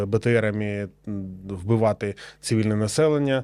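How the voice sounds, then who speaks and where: At a moderate pace, the voice carries a dark, mellow tone on a very clean recording with a silent background. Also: man. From eastern Ukraine, Luhansk region. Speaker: war veteran, former partisan. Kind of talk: interview testimony. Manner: halting, with many fillers.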